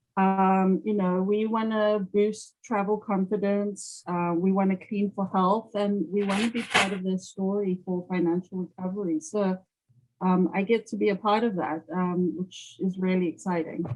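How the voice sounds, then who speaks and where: A woman with a South African accent speaks at a medium pitch. Her pace is moderate and her intonation fairly even. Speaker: sales account executive. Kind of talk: interview. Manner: hesitant with many fillers.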